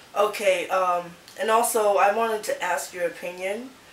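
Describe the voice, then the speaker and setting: A woman speaks at a medium pitch with ordinary variation. Noticeable background noise runs underneath. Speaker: channel host interviewer. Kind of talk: interview questions to camera.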